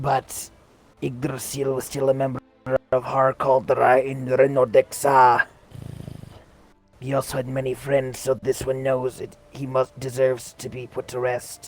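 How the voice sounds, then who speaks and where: Putting on a character voice at medium pitch, a man speaks at a moderate pace with long, frequent pauses. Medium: game stream. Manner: formal, refers to self in third person.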